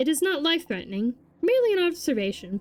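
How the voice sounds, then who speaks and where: Over faint background music, a woman uses a put-on character voice, high-pitched with very wide pitch swings, at a very fast pace. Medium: read story. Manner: formal, precise, no contractions.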